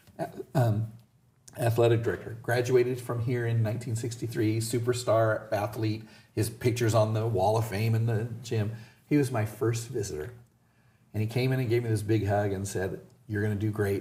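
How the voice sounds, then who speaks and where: A man at medium pitch and moderate pace, somewhat breathy and dark, mellow in tone, fairly even in intonation, with audible room echo. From US West, Southern California (Indio). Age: 60s. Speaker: school principal. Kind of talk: interview.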